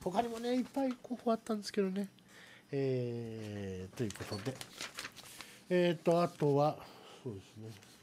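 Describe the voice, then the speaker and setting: At a moderate pace and a fairly high pitch, a man's voice makes very wide pitch swings and big swings in loudness. Long, frequent pauses are heard over light background noise. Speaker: live streaming radio host. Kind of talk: casual chat. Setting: live stream. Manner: talkative, chatty. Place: studio. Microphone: studio mic.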